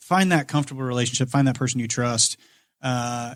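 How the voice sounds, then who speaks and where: This is a man talking with a Midwestern American accent. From Indiana, Kokomo. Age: 30s. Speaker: financial advisor. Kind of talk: casual podcast interview.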